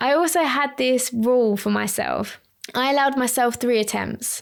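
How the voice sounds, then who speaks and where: In a very clean recording with a silent background, a high-pitched woman with an Essex accent talks at a fairly slow pace and ordinary pitch variation. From Essex, England. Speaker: lash artist and trainer, podcast host. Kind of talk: solo podcast talk. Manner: casual, tangential.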